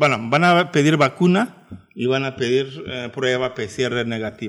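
Medium-pitched male speech over noticeable background noise. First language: Turkish (speaking Spanish). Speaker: travel agency director. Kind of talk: radio interview.

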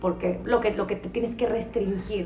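There is audible room echo and noticeable background noise. A woman speaks in a Mexican accent at a moderate pace. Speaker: podcast host. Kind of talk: casual chat.

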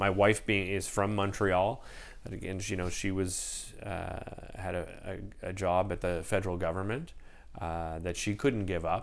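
A man with a Canadian accent speaks at a moderate pace in a very deep, low voice. His intonation stays fairly even, and the room echo is audible. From Ottawa, Canada. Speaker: TV host. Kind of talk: interview.

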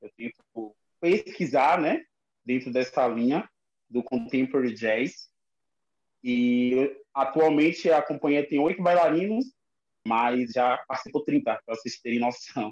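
A man talks at a fairly slow pace with long, frequent pauses. His pitch variation is ordinary. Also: medium pitch for a man. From Lauro de Freitas, Bahia. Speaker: dancer and choreographer. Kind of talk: casual online chat. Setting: video call live.

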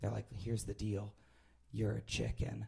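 Music plays in the background as a man talks at a very fast pace. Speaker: improv sci-fi performer, storyteller. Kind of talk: live storytelling, comedic anecdote. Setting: live stage with audience. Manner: hesitant, self-deprecating, ums and restarts.

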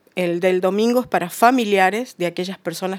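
A woman with a plain, everyday voice speaks at a moderate pace with medium pitch and ordinary pitch variation. The recording is very clean, with a silent background. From Uruguay. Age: 50s. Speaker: recovered addict sharing her story. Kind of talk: testimony.

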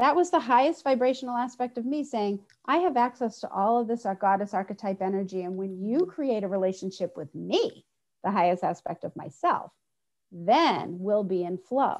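A woman talks at a moderate pace in a plain, everyday voice. Her pitch is fairly high and her intonation lively. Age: 50s. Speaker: spiritual healing teacher. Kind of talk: casual chat.

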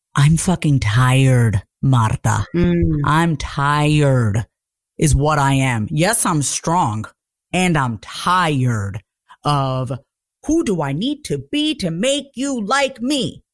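A woman speaks very slowly with a New York accent. Her very deep, low voice makes very wide pitch swings. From Long Island, New York. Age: 30s. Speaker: confidence coach. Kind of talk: casual chat.

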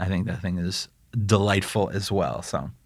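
A man with an ordinary speaking voice talks at a moderate pace in a fairly low pitch, with ordinary pitch variation, on a very clean recording with a silent background. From Chicago area, US Midwest. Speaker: chef. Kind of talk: interview, casual chat.

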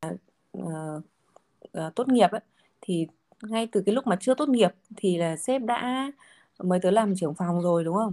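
A woman with a dark, mellow tone at medium pitch, lively intonation, a moderate pace broken by long, frequent pauses, and a dry, close sound with no echo. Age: 20s. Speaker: finance director. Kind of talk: casual interview chat.

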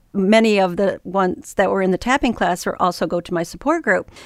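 Speaking at a fairly quick pace, a woman with an ordinary speaking voice and medium pitch shows ordinary pitch variation on a very clean recording with a silent background and a dry, close sound with no echo. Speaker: podcast host. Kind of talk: interview. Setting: studio.

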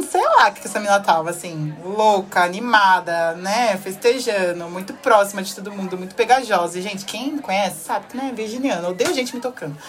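Against noticeable background noise, a woman with a medium-pitched voice talks at a fairly quick pace with hardly any pauses, big swings in loudness and ordinary pitch variation. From Brazil (Salvador / São Paulo). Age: 20s. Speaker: podcast guest. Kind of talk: casual chat.

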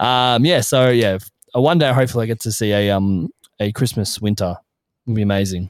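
A man with an Australian accent talks at a fairly quick pace. His pitch sits in the medium range. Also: ordinary pitch variation. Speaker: podcast guest. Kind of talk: casual chat. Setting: remote call.

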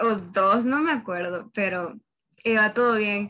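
A woman is speaking. She has a Honduran accent. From Honduras. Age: young (19). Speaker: university student, podcast host. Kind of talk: casual chat.

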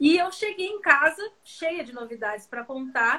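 A woman projects a raised voice with a bright, sharp tone at a fairly slow pace. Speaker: samba singer and live host. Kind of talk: casual chat. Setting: video call. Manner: animated.

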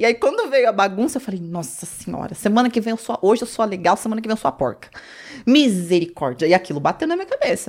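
Very fast speech with very wide pitch swings over noticeable background noise. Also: woman, fairly high pitch for a woman. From São Paulo, of northeastern (Ceará) parents. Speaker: reality show contestant. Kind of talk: casual chat.

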